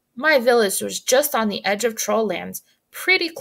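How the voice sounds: A natural reading voice is heard with a quiet background.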